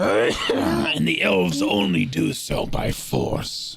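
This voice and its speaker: Very slowly, a man growls out a raspy, put-on character voice at a very deep, low pitch. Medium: actual play.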